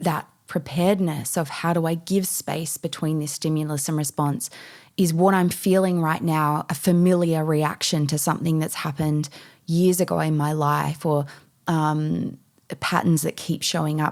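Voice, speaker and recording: An Australian accent comes from a woman with a very deep, low pitch and monotone, flat intonation. She keeps a moderate pace in a very clean recording with a silent background. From Western Australia, Perth. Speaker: mindset and meditation coach. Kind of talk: podcast interview.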